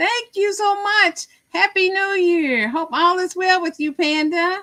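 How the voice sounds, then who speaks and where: A woman's raised, projected voice with an American accent, bright, sharp tone and fairly slow pace. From Missouri. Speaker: crochet livestreamer. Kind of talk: casual livestream chat. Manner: loud.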